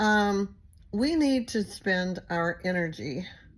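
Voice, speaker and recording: A woman with a Texas accent and lively intonation, on a very clean recording with a silent background. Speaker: recovery channel host. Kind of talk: casual monologue to viewers. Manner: rambling, filler-heavy.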